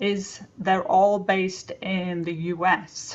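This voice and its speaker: This woman has an American accent. Her voice is pitched in the medium range. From England. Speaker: webinar speaker on AI in education. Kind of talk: webinar talk. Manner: conversational, with fillers.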